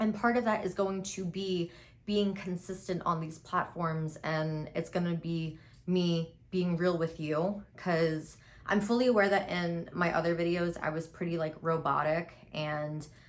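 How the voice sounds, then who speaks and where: With fairly even intonation, a woman speaks at a fairly low pitch. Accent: American. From New York City (Queens). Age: 20s. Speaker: beauty content creator. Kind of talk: casual chat with makeup tutorial. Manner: tries to speak properly, self-described as robotic.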